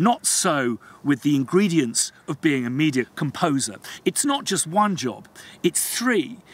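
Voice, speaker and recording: A man with a fairly high pitch speaks at a fairly slow pace. His pitch swings very widely in a dry sound with no echo. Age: 40s. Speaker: composer and video blogger. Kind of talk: vlog monologue. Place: open country.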